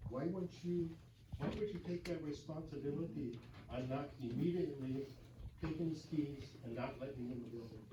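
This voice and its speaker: At a moderate pace, a man with a fairly high pitch and ordinary pitch variation speaks with long, frequent pauses in a room with audible echo. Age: 70s. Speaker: township official. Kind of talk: public comment at council meeting. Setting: city council meeting. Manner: halting.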